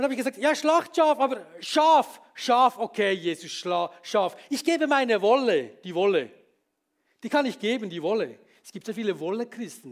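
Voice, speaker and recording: His pitch high and swinging very widely, a man talks at a moderate speed. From Switzerland, Bern. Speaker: pastor. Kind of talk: sermon.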